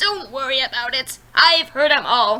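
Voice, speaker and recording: A female-sounding, put-on character voice, high-pitched, at a moderate pace. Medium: read story. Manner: gruff, curt.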